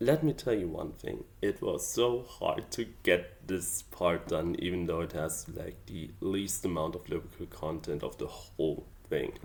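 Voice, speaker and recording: Someone with a German accent speaks at a fairly slow pace, with hardly any pauses. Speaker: amateur songwriter. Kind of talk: casual vlog explanation. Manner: hesitant, with fillers.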